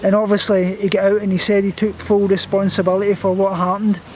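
Dry with no echo, the recording has a man speaking at a high pitch and a moderate pace, with light background noise. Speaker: vlogger. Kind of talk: casual vlog chat. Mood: shaken, nervous. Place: garden. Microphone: phone near.

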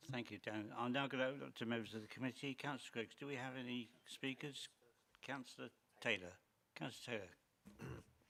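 A man speaks at a fairly quick pace with medium pitch and ordinary pitch variation. His tone is bright and sharp, with vocal fry. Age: 60s. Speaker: committee chairman. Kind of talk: chairing a meeting. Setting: council committee meeting.

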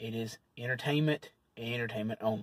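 A man's voice comes through somewhat breathy. The sound is dry, with no echo. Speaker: food reviewer vlogger. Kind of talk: casual vlog chat. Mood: relaxed, friendly. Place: car. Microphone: phone near.

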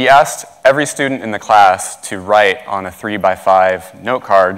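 The background is quiet as a man talks at a fairly low pitch and moderate pace. His pitch varies in an ordinary way. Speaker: speaker. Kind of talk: lecture. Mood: warm, grateful. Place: stage.

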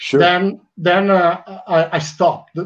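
A man talks with an Italian accent. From Italy. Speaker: fan club talk show host. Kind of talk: casual interview. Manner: halting. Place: home room. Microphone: headset.

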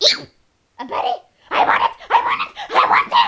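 Speaking at an average speed, the voice is a put-on character one pitched extremely high. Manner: upbeat.

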